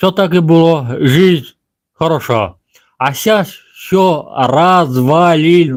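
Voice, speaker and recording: Spoken at a very slow pace with a non-native accent, the voice carries lively intonation. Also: man. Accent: non-Russian. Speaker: village vlogger. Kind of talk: live stream monologue. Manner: halting.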